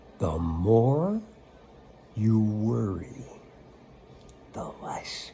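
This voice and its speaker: Over noticeable background noise, a man with an American accent speaks very slowly at a fairly low pitch, with lively intonation and long, frequent pauses. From United States. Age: 80s+. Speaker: spiritual teacher. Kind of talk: spiritual talk. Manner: casual, conversational.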